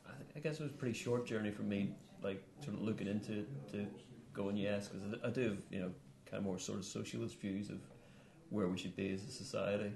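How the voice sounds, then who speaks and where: Talking very fast with a Northern Irish accent, a man with a fairly low pitch and ordinary pitch variation leaves long, frequent pauses, with noticeable background noise and audible room echo. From Northern Ireland. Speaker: musician and political activist. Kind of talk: studio interview. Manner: hesitant, many fillers.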